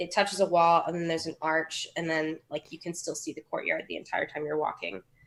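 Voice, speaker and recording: Marked by vocal fry, a woman talks at a fairly quick pace. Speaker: tabletop role-play player. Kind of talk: role-play game session. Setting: live stream voice chat. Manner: hesitant, many fillers. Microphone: too quiet, low gain.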